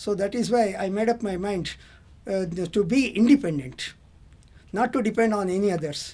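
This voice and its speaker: With an Indian accent, a man talks at a moderate pace in a high pitch, his tone dark and mellow, leaving long, frequent pauses. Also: ordinary pitch variation. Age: 70s. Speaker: auto rickshaw driver, retired English lecturer. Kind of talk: interview answer. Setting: studio.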